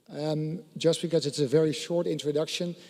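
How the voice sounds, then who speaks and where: Speaking fairly quickly with a Dutch accent, a man with a fairly high pitch keeps his intonation fairly even. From Netherlands. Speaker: satellite company executive. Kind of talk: conference panel presentation.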